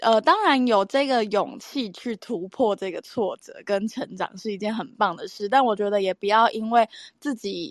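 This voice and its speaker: A woman with a normal speaking voice, fairly high-pitched, talks at a moderate pace with ordinary pitch variation, big swings in loudness and hardly any pauses, in a dry, close sound with no echo against a quiet background. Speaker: podcast co-host. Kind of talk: casual chat.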